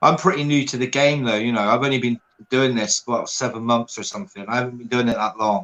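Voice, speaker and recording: The sound is dry and close, with no echo. A man with a strong Bristolian accent talks at a fairly quick pace in a medium pitch, with ordinary pitch variation. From England, Bristol. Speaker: reseller, former plumber. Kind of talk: casual chat.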